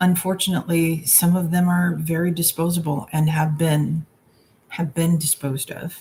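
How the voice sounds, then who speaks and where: A woman's fairly low voice with monotone, flat intonation. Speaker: tarot reader. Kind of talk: live stream Q&A. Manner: slow; halting.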